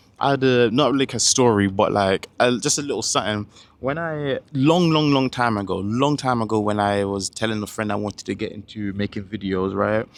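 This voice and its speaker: Speaking at a fairly quick pace with hardly any pauses, a man with a medium pitch and ordinary pitch variation comes through on a very clean recording with a silent background. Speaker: self-improvement vlogger. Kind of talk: casual motivational monologue. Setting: recording to camera. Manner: halting, self-interrupting; animated.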